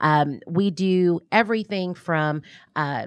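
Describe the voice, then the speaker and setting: An American-accented woman with a plain, everyday voice talks with fairly even intonation. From US South, New Orleans. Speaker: nonprofit president and business development director. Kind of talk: radio interview. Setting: radio studio.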